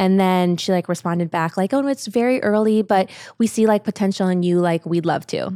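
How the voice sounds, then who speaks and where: A woman's medium-pitched voice with an American accent, dark and mellow in tone, at a fairly quick pace with ordinary pitch variation and very even loudness, dry and close with no echo on a very clean recording with a silent background. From Ohio, US. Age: 30s. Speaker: influencer and brand co-founder. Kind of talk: interview.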